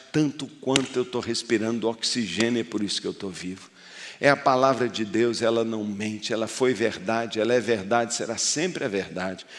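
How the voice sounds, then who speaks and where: With a plain, everyday voice, a man talks at a moderate pace using ordinary pitch variation. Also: medium pitch for a man. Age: 60s. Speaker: pastor. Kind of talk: sermon.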